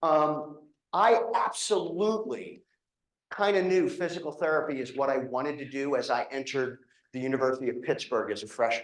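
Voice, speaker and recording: This man talks at a fairly quick clip with a fairly high voice. His intonation is lively. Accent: slight Philadelphia. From Philadelphia, Pennsylvania. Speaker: physical therapy professor and program director. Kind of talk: informational presentation to prospective students. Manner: casual, conversational with frequent fillers.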